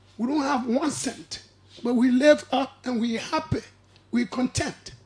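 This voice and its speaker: Someone speaks at a fairly slow pace over noticeable background noise. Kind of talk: radio talk show discussion. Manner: preachy.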